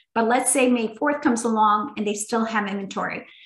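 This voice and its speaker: Fairly even intonation in a plain, everyday voice. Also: woman. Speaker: environmental nonprofit program leader. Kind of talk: webinar presentation and Q&A.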